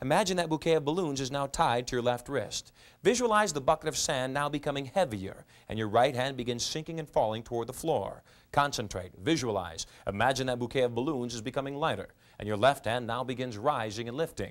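With lively intonation, a man talks at a fairly quick pace against a quiet background. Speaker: hypnotist. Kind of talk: hypnotic induction, commanding trance suggestions. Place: studio.

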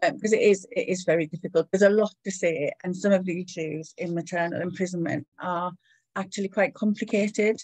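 A somewhat breathy woman talks at a fairly quick pace with fairly even intonation. The sound is dry with no echo and the background quiet. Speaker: speaker. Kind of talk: webinar talk. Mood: warm, lightly laughing. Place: home room. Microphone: video call.

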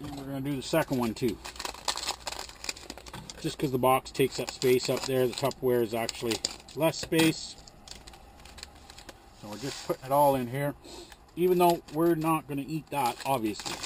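A man at a moderate pace with ordinary pitch variation and long, frequent pauses, in a dry sound with no echo and noticeable background noise. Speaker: truck driver vlogger. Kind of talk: casual cooking vlog chat. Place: car. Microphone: phone near.

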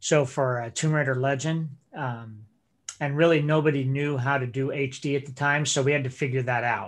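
A man with a normal speaking voice, fairly high pitch, fairly even intonation and a moderate pace. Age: 50s. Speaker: school director and animator. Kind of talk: interactive online workshop. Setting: video call. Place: home room. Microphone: video call.

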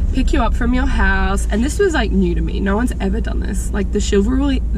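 The speech moves at a fairly quick pace, with a dry sound that has no echo and loud background noise behind it. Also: woman. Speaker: vlogger passenger. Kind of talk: casual vlog chat. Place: car. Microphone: phone near.

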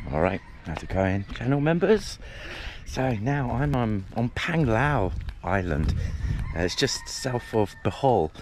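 An unremarkable speaking voice from a man, fairly slow in pace with lively intonation, dry sound with no echo, and light background noise. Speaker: travel vlogger. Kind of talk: casual vlog chat. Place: street. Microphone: phone near.

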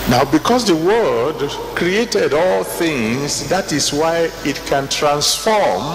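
Over noticeable background noise, a man talks at a very slow pace with lively intonation. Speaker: preacher, church General Overseer. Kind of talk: sermon preached to a congregation. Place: hall. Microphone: handheld.

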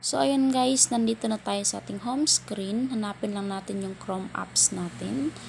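With a normal speaking voice, a woman talks at a moderate pace and medium pitch, using lively intonation and hardly any pauses. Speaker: beginner vlogger. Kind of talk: tutorial.

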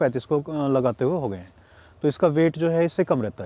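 At a moderate pace and with ordinary pitch variation, a man speaks in a dark, mellow tone, in a dry sound with no echo. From India, Amroha district, western Uttar Pradesh; Uttar Pradesh, India. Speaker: sugarcane farmer. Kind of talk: field interview. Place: farm machine.

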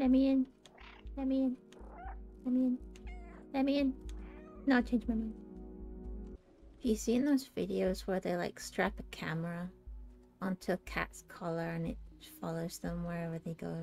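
A soft-spoken woman at a moderate pace, with long, frequent pauses and music in the background. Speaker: streamer. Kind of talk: gameplay commentary. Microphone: too quiet.

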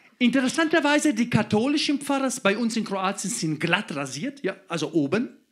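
A man with a Croatian accent speaks in a high voice with very wide pitch swings and hardly any pauses against a quiet background. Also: moderate pace. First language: Croatian (speaking German). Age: 30s. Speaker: comedian. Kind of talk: stand-up. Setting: stage with audience. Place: stage. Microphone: handheld.

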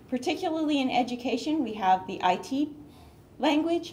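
Light background noise sits behind a woman's high-pitched voice, which swings very widely in pitch. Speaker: education department data official; presenter. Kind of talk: conference presentation. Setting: stage with audience. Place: meeting room. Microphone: podium.

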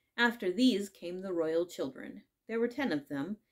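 Lively intonation marks an unforced reading voice, heard against a quiet background.

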